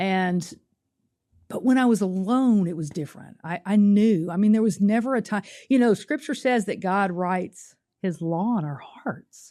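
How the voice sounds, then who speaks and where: Against a quiet background, a dark, mellow voice in a Southern US accent moves at a moderate pace with ordinary pitch variation. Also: woman, medium pitch for a woman. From US South, Nashville, Tennessee. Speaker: testimony guest. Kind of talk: testimony. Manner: halting, repeats words.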